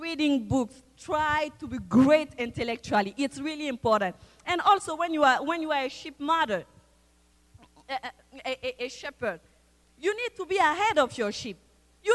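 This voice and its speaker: Recorded dry and close with no echo, a woman with a high pitch talks at a moderate pace with very wide pitch swings. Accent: non-native. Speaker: church member, mother, guest preacher. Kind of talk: sermon. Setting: church service with congregation.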